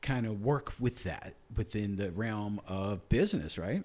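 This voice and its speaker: In a very clean recording with a silent background, a man with fairly low pitch and an ordinary speaking voice talks at a fairly slow pace with fairly even intonation. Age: 60s. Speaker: podcast co-host and business cofounder. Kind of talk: casual chat.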